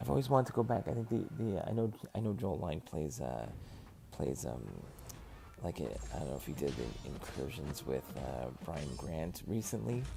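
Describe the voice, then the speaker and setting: A quiet man's voice, very deep and low, with very wide pitch swings, a moderate pace and long, frequent pauses, with music in the background. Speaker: gaming streamer. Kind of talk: live gaming stream chat. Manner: quieter, lower voice at night; halting, many fillers.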